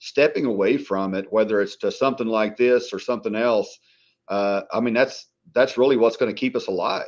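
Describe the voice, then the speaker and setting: Over a quiet background, a man with an American accent talks at a fairly quick pace. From Oklahoma. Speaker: former first responder. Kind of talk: casual chat.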